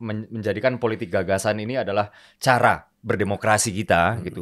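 A man with an unremarkable speaking voice talks at a moderate pace in a fairly low pitch, with fairly even intonation, hardly any pauses and a quiet background. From West Sumatra, Indonesia (Minang). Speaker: party politician. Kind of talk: political interview. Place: studio. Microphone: studio mic.

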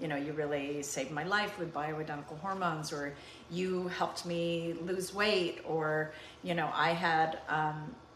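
Delivery comes at a fairly slow pace with audible room echo. Light background noise sits underneath. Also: woman, very deep, low pitch for a woman. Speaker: cooking show host. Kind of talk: heartfelt casual talk to viewers. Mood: warm, reflective, tender. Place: kitchen. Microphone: phone near.

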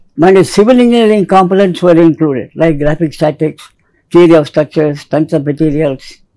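Against a quiet background, a man talks at a fairly quick pace with a dark, mellow tone and ordinary pitch variation. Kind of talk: interview answer. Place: studio. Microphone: lapel.

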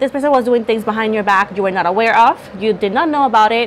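A woman's pitch varies in an ordinary way, with light background noise present. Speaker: tarot reader. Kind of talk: tarot reading monologue. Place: home room. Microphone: lapel.

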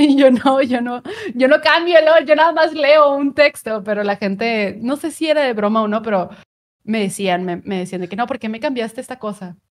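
A woman with a high voice talks at a moderate pace, her intonation lively and her loudness swinging widely, over a quiet background. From Mexico, Monterrey; Nuevo León, Mexico. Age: 30s. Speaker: content creator and streamer; content creator, streamer. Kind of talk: casual interview chat. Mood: cheerful, animated storytelling. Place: home room.

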